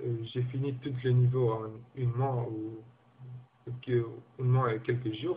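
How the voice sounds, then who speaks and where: A man with a non-native accent speaks at a fairly slow pace. His pitch is medium and his intonation fairly even. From Guinea. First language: not French (speaking French). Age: 20s. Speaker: language learner. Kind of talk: personal testimony. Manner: halting, many repetitions and hesitations.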